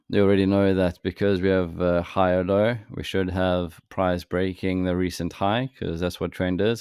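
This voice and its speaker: A man talks in a very deep, low voice with monotone, flat intonation. The recording is very clean with a silent background, and the sound is dry and close with no echo. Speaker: trading educator. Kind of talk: tutorial.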